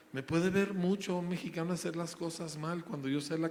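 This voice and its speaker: Noticeable background noise sits under this recording. A man talks at a fairly quick pace and fairly high pitch. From grew up in the United States, Mexican. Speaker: school founder, preacher. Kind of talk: interview.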